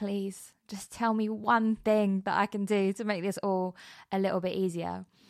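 A woman with a British accent speaks with fairly even intonation in a dry, close sound with no echo. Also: very clean recording, silent background. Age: 30s. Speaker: podcast host. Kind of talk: podcast trailer monologue. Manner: casual, conversational.

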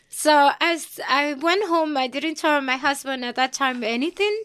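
In a Dominican accent, a woman speaks at a high pitch with a bright, sharp tone and ordinary pitch variation. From Dominican Republic. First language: Spanish. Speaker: hair salon owner. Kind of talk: casual interview chat.

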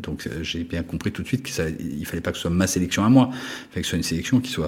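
Ordinary pitch variation runs through a man's very deep, low-pitched voice. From France (Paris, Savoyard roots). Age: 50s. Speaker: art critic and gallerist. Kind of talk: interview. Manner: hesitant, many fillers.

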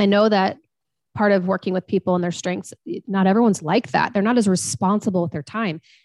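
An ordinary speaking voice from a woman at medium pitch, fairly quick, with ordinary pitch variation, in a dry, close sound with no echo over a quiet background. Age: 40s. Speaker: strengths coach and financial consultant. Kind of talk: interview.

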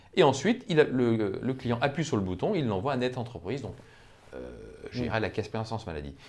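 Vocal fry colors a man's medium-pitched voice as he talks at a fairly quick pace. He leaves long, frequent pauses. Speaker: employment lawyer. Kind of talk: interview. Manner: hesitant, with many fillers.

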